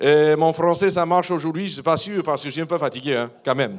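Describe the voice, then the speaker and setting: A man's high voice with an English accent. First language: English (speaking French). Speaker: missionary pastor. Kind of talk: church address / testimony. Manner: halting, many hesitations.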